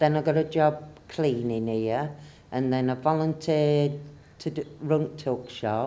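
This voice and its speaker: The speaker has a northern English accent and talks at a fairly slow pace with fairly even intonation. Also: woman. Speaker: community centre volunteer. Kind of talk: interview.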